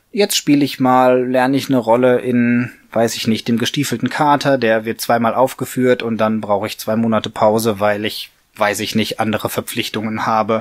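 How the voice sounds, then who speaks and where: Speaking in a monotone, flat intonation, a man keeps a medium pitch and a moderate pace. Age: 40s. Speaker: puppeteer, mechatronics engineer. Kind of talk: interview answer.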